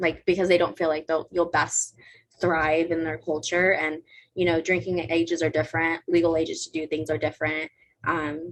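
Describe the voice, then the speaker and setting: In an American accent, a woman speaks at a moderate pace with a fairly low pitch and monotone, flat intonation. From California, Mexican American. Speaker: gap year student. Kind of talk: interview. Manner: casual, filler-heavy.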